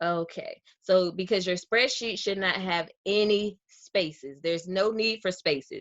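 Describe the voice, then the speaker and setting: A woman speaks in a Southern US accent at a fairly slow pace, with hardly any pauses. Her pitch varies in an ordinary way over a quiet background. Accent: Southern US, drops R's. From US South. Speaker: real estate wholesaler; real estate data tutor. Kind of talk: tutorial. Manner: casual, conversational with fillers. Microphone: webcam.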